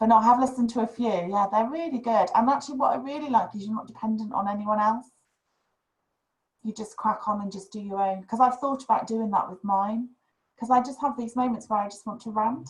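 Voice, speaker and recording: Speaking at a fairly quick pace, a woman has a fairly high, somewhat breathy voice. Her pitch varies in an ordinary way, while her loudness swings a lot. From northern England, West Yorkshire (Huddersfield). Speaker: podcast host. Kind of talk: casual chat.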